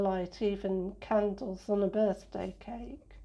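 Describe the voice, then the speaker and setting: At a fairly slow pace, a woman of medium pitch speaks with fairly even intonation and a dark, mellow tone. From northern England, Sheffield. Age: 60s. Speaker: blind interviewee, former physiotherapist. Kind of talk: interview.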